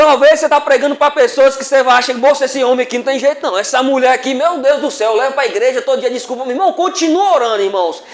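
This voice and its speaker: Amid noticeable background noise, a man talks very fast in an extremely high pitch with hardly any pauses. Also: ordinary pitch variation. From far northern Minas Gerais, Brazil. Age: 50s. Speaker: preacher. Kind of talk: sermon. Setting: church.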